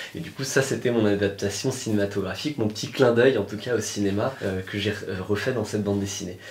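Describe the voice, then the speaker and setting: In audible room echo, a man with a fairly low, somewhat breathy voice speaks at a fairly quick pace with fairly even intonation and hardly any pauses. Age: 20s. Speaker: political cartoonist. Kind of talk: interview. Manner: hesitant, many fillers.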